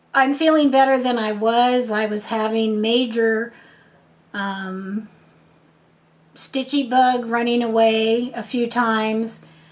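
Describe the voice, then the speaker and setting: The speech moves at a very slow pace with long, frequent pauses. Intonation stays fairly even. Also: woman, fairly high pitch for a woman. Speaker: craft vlogger. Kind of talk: casual show-and-tell vlog. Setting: at home desk. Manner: chatty, halting with fillers.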